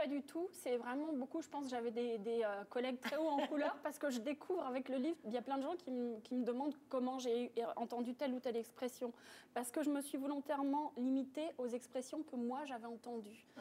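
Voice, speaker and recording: A woman talks at a high pitch and a fairly quick pace with fairly even intonation. Noticeable background noise runs underneath. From France. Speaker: author, painter and yoga teacher. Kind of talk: TV interview answer.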